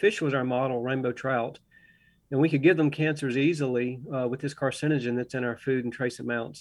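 A man's medium-pitched voice, with ordinary pitch variation, comes through against a quiet background. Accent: Southern. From US South, Augusta, Georgia. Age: 60s. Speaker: organic farmer and biology professor. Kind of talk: radio interview.

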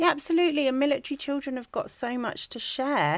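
A woman with a southern English accent is heard in a very clean recording with a silent background. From England (Wiltshire). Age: 40s. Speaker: charity founder, ex-military. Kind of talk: interview.

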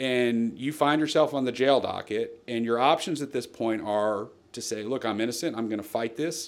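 Here is a man with an American accent and an unremarkable speaking voice. He keeps a moderate pace with ordinary pitch variation. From New Jersey. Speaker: lawyer. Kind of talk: interview.

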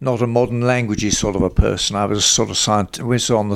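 A man speaks with a southern English accent. The recording is very clean, with a silent background. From South London, England. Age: 80s+. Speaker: veterinary business consultant. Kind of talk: interview. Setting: at home, garden.

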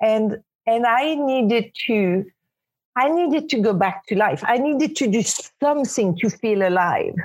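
Speaking at a fairly slow pace with a French accent, a woman has a fairly high pitch and ordinary pitch variation. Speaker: spiritual teacher. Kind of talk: interview. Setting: remote call.

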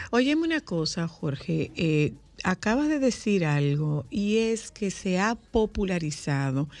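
A woman at a very slow pace with very wide pitch swings, against a quiet background. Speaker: radio host. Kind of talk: casual chat. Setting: studio. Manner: animated.

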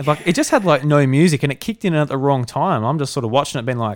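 Recorded very cleanly against a silent background, a man speaks at a medium pitch in an Australian accent. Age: 20s. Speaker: podcast host. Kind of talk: casual chat.

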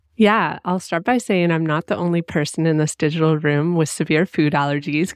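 In a normal speaking voice with a Canadian accent, a woman talks at a moderate pace and a fairly low pitch, with ordinary pitch variation, very even loudness and hardly any pauses. The sound is dry and close with no echo, over a quiet background. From Canada (Ottawa area). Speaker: travel podcast host. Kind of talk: casual interview chat.

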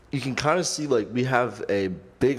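Using an unremarkable speaking voice, a man talks at a fairly slow pace with ordinary pitch variation. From Michigan, Clarkston near Detroit. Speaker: podcast host. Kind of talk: casual interview.

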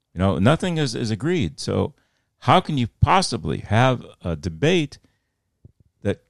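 Heard in a dry, close sound with no echo, a man at a medium pitch uses vocal fry and very wide pitch swings. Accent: Midwestern. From US Midwest, Fort Wayne, Indiana. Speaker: retired news correspondent. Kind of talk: interview conversation. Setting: podcast.

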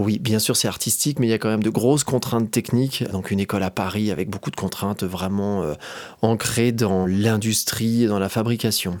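A man has a plain, everyday voice at a fairly low pitch. He moves at a fairly quick pace with fairly even intonation. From France, Haute-Savoie (Annecy area). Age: 40s. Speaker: drawing teacher and illustrator. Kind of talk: interview.

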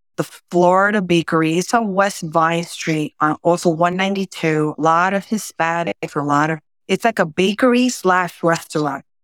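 The pace is moderate, with ordinary pitch variation. It is a very clean recording with a silent background, dry and close with no echo. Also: woman, fairly low pitch for a woman. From South Bronx, New York City, Puerto Rican family. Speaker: executive and mentor. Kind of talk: podcast interview.

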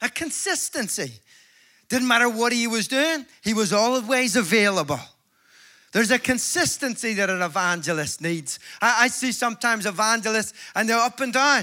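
On a very clean recording with a silent background, a man in a Northern Irish accent speaks at a moderate pace and high pitch, his raised, projected voice carrying a bright, sharp, animated tone and lively intonation. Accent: Northern Irish (Belfast). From Northern Ireland, Belfast. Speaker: evangelist. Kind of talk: sermon. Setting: stage with audience.

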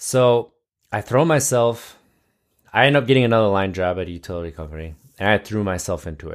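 A man's ordinary speaking voice, fairly low in pitch, with an American accent, a fairly quick pace, lively intonation and big swings in loudness, on a very clean recording with a silent background. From US Midwest, Wisconsin. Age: 30s. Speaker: podcast host, lineman in recovery. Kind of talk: personal testimony monologue.

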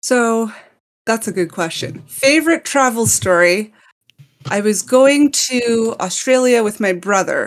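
In a Montreal accent, a woman speaks fairly slowly with lively intonation and a fairly high pitch. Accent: Montreal Canadian English. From Montreal, Canada. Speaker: podcast guest. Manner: enunciates words clearly.

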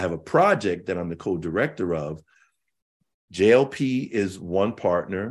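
A man speaks at a moderate pace in a very deep, low voice with lively intonation. The background is quiet. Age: 50s. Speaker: cultural analyst and educator. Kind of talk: casual chat.

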